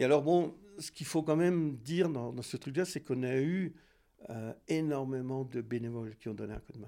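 At a moderate pace, a man talks at medium pitch in a dark, mellow tone with ordinary pitch variation. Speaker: former ski coach and piste chief. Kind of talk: interview testimony. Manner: halting.

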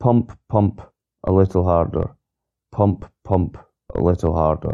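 Speaking with a Scottish accent, a man has a very deep, low pitch. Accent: Scottish brogue. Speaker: podcast host reading song lyrics. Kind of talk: reading aloud. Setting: solo recording, one unedited take. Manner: flat spoken reading of lyrics.

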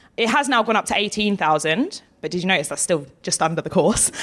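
A woman with an Essex accent talks at a fairly quick pace. Her pitch sits in the medium range. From Essex, England. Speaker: barrister and author. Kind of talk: live interview. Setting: festival stage with audience.

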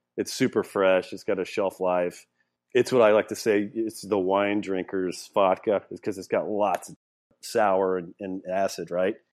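Spoken in a Southern US accent, the monotone, flat delivery moves at a fairly slow pace with big swings in loudness, in a very clean recording with a silent background. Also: man, fairly low pitch for a man. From Louisiana. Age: 50s. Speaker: distillery founder. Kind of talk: casual interview.

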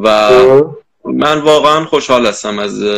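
His speech moves fairly slowly. The man's intonation is fairly even. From Iran. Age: 20s. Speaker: arachnologist. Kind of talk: casual interview.

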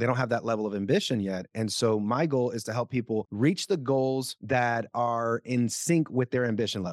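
A man with a Spanish accent at a moderate pace, hardly any pauses, on a very clean recording with a silent background. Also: medium pitch for a man, ordinary pitch variation. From Puerto Rico. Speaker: managing attorney and speaker. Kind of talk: interview conversation.

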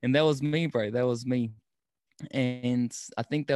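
A man talks against a quiet background. The sound is dry and close, with no echo. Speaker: food truck owner and podcaster. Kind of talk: casual interview.

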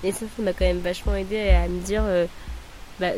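Someone speaks at a moderate pace, with noticeable background noise. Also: woman. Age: 20s. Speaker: early childhood educator. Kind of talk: testimony.

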